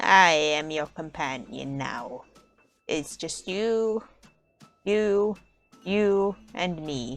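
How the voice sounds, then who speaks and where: A woman's put-on character voice, fairly low in pitch, at a very slow pace with long, frequent pauses and faint music in the background. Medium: game stream. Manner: mournful, formal.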